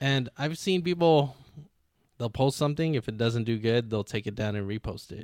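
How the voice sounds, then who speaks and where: A plain, everyday voice with lively intonation moves at a moderate pace, recorded very cleanly with a silent background and a dry, close sound with no echo. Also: man, medium pitch for a man. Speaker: drifter and car builder guest. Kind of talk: casual interview chat.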